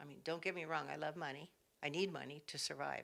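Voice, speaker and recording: A woman with an American accent, a very deep, low pitch, a bright, sharp tone and monotone, flat intonation, on a very clean recording with a silent background. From California, San Jose. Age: 70s. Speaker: craft vendor and artisan. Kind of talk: casual interview.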